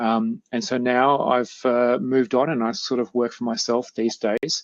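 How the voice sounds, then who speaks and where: A man speaks at medium pitch. The sound is dry and close, with no echo. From Melbourne, Australia. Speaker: project management consultant. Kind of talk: interview. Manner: halting, many fillers.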